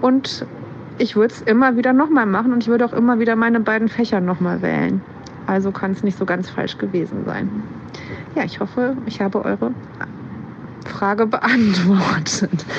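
With noticeable background noise behind her, a woman with a fairly high voice speaks at a moderate pace, using ordinary pitch variation and long, frequent pauses. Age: 40s. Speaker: teacher. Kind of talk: personal account.

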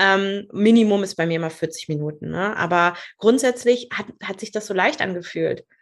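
It has an unremarkable speaking voice. The pace is moderate, and the pitch varies normally. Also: woman, medium pitch for a woman. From northern Germany, rural Lower Saxony. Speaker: business mentor. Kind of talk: podcast interview.

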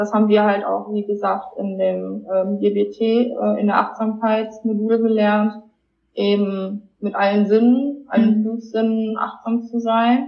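In a fairly high voice, a woman speaks at a very slow pace with monotone, flat intonation. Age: 20s. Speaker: person with lived experience of borderline. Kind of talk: personal testimony interview.

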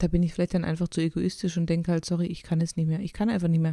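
A dark, mellow tone at a very fast pace, in a very clean recording with a silent background. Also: woman. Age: 40s. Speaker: podcast co-host. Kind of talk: casual chat.

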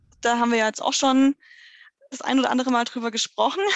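A woman with a high voice speaks at a very fast pace with ordinary pitch variation. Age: 30s. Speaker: dog trainer in training. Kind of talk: casual interview.

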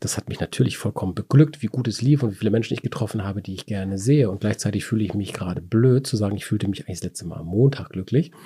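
Very fast and with hardly any pauses, a man talks in a dark, mellow, somewhat breathy voice, recorded dry and close with no echo. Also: fairly low pitch for a man, ordinary pitch variation. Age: 40s. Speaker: wine podcast host. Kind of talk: casual chat.

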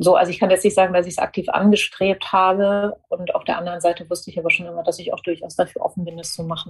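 A woman speaks very fast with hardly any pauses, her voice somewhat breathy. Her intonation stays flat and monotone while her loudness swings widely. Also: medium pitch for a woman. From Germany, near Frankfurt. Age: 40s. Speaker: media executive and former journalist. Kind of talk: interview. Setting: home office.

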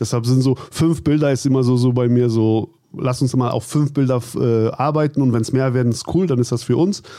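A man talks at a fairly quick pace in a dark, mellow tone and a medium pitch. His intonation stays fairly even and his loudness very even. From Germany, Cologne. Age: 40s. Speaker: cosplay photographer. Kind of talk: interview. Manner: halting, repeats words.

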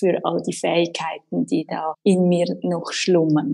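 A woman's voice has a dark, mellow tone and a dry, close sound with no echo. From Switzerland, Winterthur. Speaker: fitness instructor. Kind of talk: casual chat.

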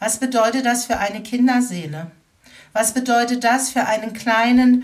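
A woman's high-pitched voice at a very slow pace. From Baden-Württemberg (Baden-Baden). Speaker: educator and anti-racism trainer. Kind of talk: interview. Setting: remote recording.

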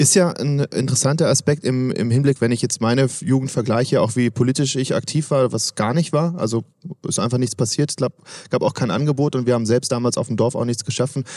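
The man's voice has a dark, mellow tone and moves at a fairly quick pace in a dry, close sound with no echo. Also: medium pitch for a man, ordinary pitch variation. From Swabia, southwest Germany. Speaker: podcast host. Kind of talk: interview. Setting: at a conference.

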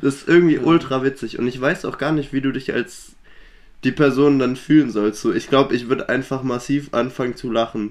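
A man's ordinary speaking voice at medium pitch, fairly quick, with fairly even intonation. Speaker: podcast co-host. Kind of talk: casual chat.

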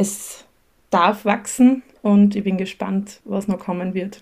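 Very slow, somewhat breathy speech with a monotone, flat intonation. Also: woman. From Austria, Styria (near Graz). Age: 30s. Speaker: teacher and creative small-business owner. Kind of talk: casual interview.

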